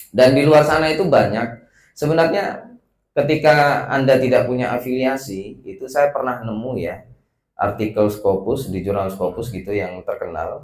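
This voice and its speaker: Lively intonation from a man at a medium pitch and a moderate pace. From West Sumatra, Padang. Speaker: research institute director. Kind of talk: welcome speech. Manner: casual, hesitant with fillers.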